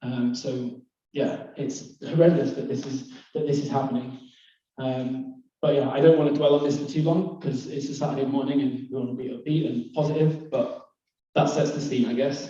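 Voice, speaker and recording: In a Lancashire accent, a man with a fairly high voice speaks in a flat monotone at a moderate pace, with audible room echo. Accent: northern English (Lancashire). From northwest England, Lake District / East Lancashire. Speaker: conference speaker, climate and bamboo entrepreneur. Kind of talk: presentation to live audience. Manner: hesitant, many fillers.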